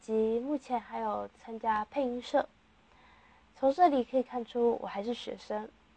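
Her voice is high and fairly even in intonation, delivered at a fairly slow pace. The woman's recording sounds dry and close, with no echo. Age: young. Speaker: student podcaster. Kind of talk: casual monologue.

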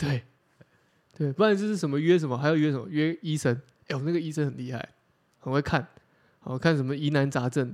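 Speech at a very fast pace with an animated tone and ordinary pitch variation, broken by long, frequent pauses. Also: man, fairly high pitch for a man. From Taiwan, Chiayi. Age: 30s. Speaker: podcast co-host. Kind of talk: casual chat. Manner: animated, laughs often.

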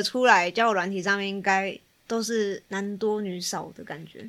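With a Taiwanese accent, a woman speaks at a moderate pace in a bright, sharp tone of medium pitch and ordinary pitch variation, on a very clean recording with a silent background. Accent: Taiwanese Mandarin. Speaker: psychology student guest. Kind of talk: casual chat.

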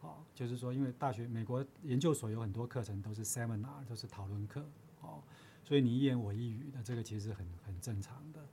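A man talks at a fairly quick pace in a medium pitch with ordinary variation. His tone is dark and mellow and somewhat breathy. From Taiwan, Chiayi. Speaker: university professor. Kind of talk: interview. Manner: halting.

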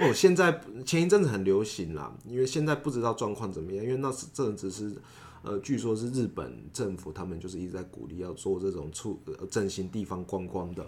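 The speech moves at a fairly quick pace with lively intonation. Its loudness swings widely. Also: man, fairly low pitch for a man. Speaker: former PhD student in Japan, legislative aide. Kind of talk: casual interview. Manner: hesitant, many fillers.

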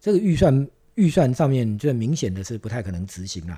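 A somewhat breathy male voice with a dark, mellow tone, very wide pitch swings and a fairly quick pace. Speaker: interior design director. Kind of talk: interview.

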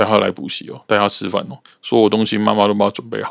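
Moderately paced speech from a man, recorded very cleanly against a silent background. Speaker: podcast host, cram-school teacher. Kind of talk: casual monologue.

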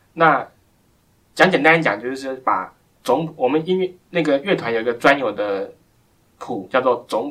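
Lively intonation marks this man's fairly high voice. He talks at a fairly slow pace. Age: 20s. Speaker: blind pianist. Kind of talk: interview. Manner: halting.

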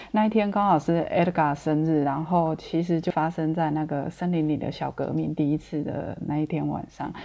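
A woman with a very deep, low pitch and a dark, mellow tone speaks at a moderate pace with fairly even intonation. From Taiwan. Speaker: former ecology volunteer. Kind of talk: casual interview.

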